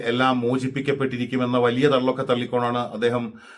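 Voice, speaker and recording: A man is speaking. He has a plain, everyday voice. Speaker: news commentator. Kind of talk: news commentary monologue.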